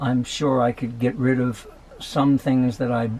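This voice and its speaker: With fairly even intonation and a moderate pace, the voice comes through noticeable background noise. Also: man. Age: 70s. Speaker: van dweller. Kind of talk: casual talk to camera.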